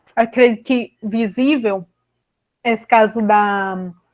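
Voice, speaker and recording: In a normal speaking voice, a woman speaks with fairly even intonation and a fairly high pitch against a quiet background. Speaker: historian researcher presenting a course lecture. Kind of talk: lecture.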